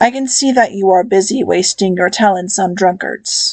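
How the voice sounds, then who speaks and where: Delivered at a moderate pace, this put-on character voice sounds raspy and has ordinary pitch variation. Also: woman, medium pitch for a woman. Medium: read story. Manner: calm, measured.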